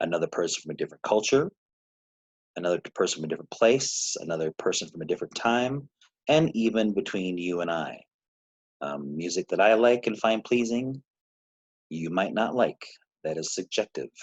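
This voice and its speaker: A man's lively intonation with long, frequent pauses, dry and close with no echo. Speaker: music teacher. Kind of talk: lecture. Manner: hesitant fillers.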